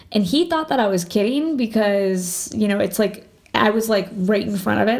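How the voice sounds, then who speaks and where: A woman's unremarkable speaking voice at a fairly quick pace, with hardly any pauses and ordinary pitch variation. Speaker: podcast guest. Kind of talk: casual chat. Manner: excitable.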